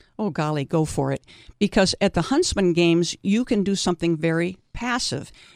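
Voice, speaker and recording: A plain, everyday voice with lively intonation moves at a moderate pace, recorded dry and close with no echo on a very clean recording with a silent background. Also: woman. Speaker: senior softball player. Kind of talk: interview.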